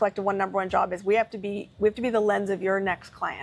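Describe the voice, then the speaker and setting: A woman with a medium-pitched voice talks at a very fast pace. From Canada. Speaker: business strategist. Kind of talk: interview.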